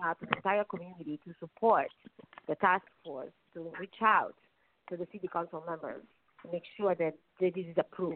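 A woman speaks in an Italian accent at a fairly low pitch. Her intonation is monotone and flat. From Naples, Italy. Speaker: attorney and nonprofit president. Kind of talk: radio interview.

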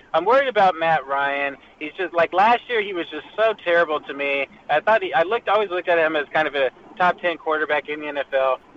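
A high-pitched man talks at a fairly quick pace with lively intonation, over noticeable background noise. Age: 30s. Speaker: fantasy football panelist. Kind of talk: casual chat. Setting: phone call while driving in car. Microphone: phone line.

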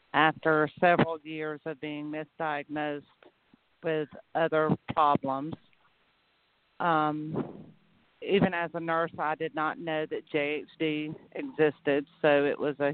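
Very slowly, a woman speaks in a very deep, low pitch with monotone, flat intonation and a Southern US accent. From Georgia, US South. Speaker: nurse and patient advocate. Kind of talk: casual interview.

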